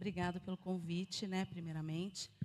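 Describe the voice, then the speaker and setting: Pitched fairly low, a woman talks in an ordinary speaking voice with fairly even intonation. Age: 40s. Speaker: political activist and entrepreneur. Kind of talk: live interview.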